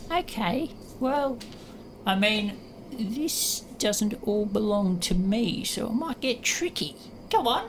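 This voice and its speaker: A put-on character voice, female-sounding and fairly high-pitched, at a fairly slow pace over clear background noise. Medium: actual play. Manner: cagey, wheedling.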